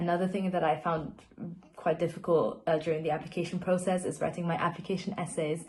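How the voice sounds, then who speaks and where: Very fast, somewhat breathy speech from a woman with a fairly low voice and monotone, flat intonation. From Austria. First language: not English. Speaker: university student. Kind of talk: panel testimony.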